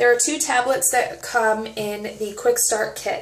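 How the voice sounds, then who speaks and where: The room echo is audible. A woman talks at a moderate pace. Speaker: nutrition product coach. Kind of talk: casual vlog chat. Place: home room. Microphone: phone near.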